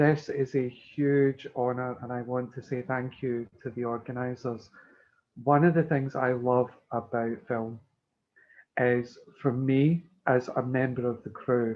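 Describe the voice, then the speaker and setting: A man speaks with a Scottish accent at a medium pitch. His pace is fairly slow and his intonation monotone and flat. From Scotland. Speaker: makeup artist. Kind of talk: speech.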